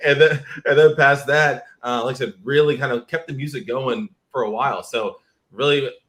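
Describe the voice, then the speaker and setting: With ordinary pitch variation and a moderate pace, a man speaks in a plain, everyday voice. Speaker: affiliate marketer. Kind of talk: interview. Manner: casual, filler-heavy.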